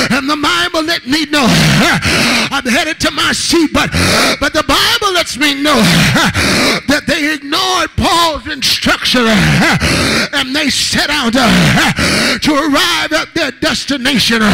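In a raised, projected voice, a man speaks with extremely high pitch and ordinary pitch variation. His pace is very slow, and the background is quiet. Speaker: guest preacher. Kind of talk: rousing call-and-response Pentecostal sermon. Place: church. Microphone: handheld.

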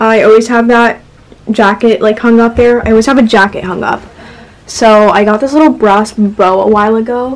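Her intonation is fairly even, and the woman keeps to a moderate pace. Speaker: vlogger. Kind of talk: casual vlog chat. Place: home room. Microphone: phone near.

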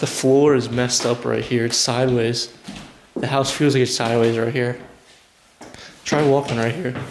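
Over light background noise, a man talks at a moderate pace with monotone, flat intonation. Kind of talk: casual vlog chat. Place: home room. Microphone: phone near.

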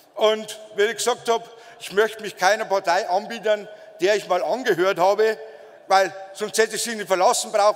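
Talking at a fairly quick pace, a man uses a high pitch and monotone, flat intonation. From Bavaria. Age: 40s. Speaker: politician. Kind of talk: campaign speech. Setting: party convention stage with audience. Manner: emphatic. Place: hall. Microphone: podium.

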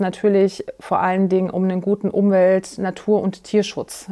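Against a quiet background, a woman with a dark, mellow tone talks at a fairly slow pace. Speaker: politician interviewee. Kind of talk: interview answer. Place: studio. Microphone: lapel.

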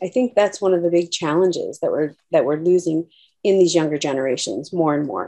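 A woman speaks in a dark, mellow tone at a fairly low pitch. The background is quiet. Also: ordinary pitch variation, fairly quick pace. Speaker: nurse practitioner. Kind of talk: casual discussion. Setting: video call. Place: home room. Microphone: video skipping connection; webcam.

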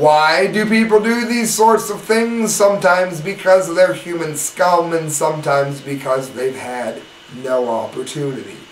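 A man talks at a fairly slow pace in a high pitch with lively intonation. Light background noise and audible room echo are present. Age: 40s. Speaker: online news commentator. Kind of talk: news commentary. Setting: live webcam broadcast.

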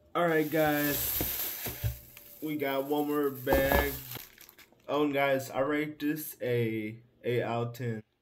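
Music plays in the background as a man talks at a very slow pace. He leaves long, frequent pauses. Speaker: haul vlogger. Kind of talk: casual vlog chat. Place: home room. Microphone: phone near.

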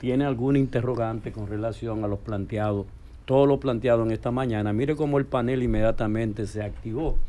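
A dark, mellow tone at a fairly quick pace, with fairly even intonation. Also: man, medium pitch for a man. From Dominican Republic. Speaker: radio show host. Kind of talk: radio talk show. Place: studio. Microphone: studio mic.

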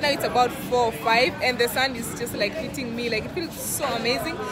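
A woman talks at a fairly quick pace over music in the background. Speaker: vlogger. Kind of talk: casual vlog chat. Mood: cheerful, relaxed. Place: bar. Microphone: phone near.

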